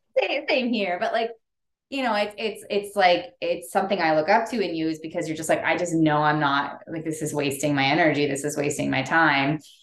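Delivered at a fairly quick pace with lively intonation, this is an ordinary speaking voice. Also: woman, fairly low pitch for a woman. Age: 30s. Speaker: podcast host. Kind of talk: casual chat.

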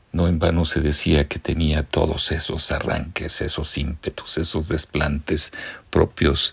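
Over noticeable background noise, a man talks very slowly in a very deep, low pitch with monotone, flat intonation. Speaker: radio artist and narrator. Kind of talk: scripted narration.

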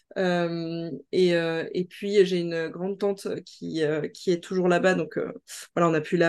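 A woman at a very slow pace, fairly low in pitch, with monotone, flat intonation. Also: quiet background. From mainland France. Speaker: naturopath and inclusivity trainer. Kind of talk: interview conversation. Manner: hesitant, many fillers.

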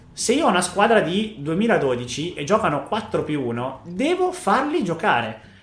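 With music in the background and audible room echo, a man speaks at a high pitch with very wide pitch swings. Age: 20s. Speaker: youth football coach. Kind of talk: podcast interview.

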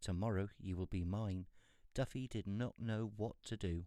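In a very clean recording with a silent background, a man talks at a moderate pace with a dark, mellow tone and ordinary pitch variation. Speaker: storyteller reading a fairy tale aloud. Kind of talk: fairy-tale narration, reading aloud.

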